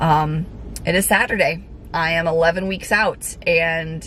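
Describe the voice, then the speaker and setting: The pitch varies in an ordinary way. Noticeable background noise is present. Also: woman. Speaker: fitness vlogger and figure competitor. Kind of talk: casual vlog talk to camera. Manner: frequent fillers (um).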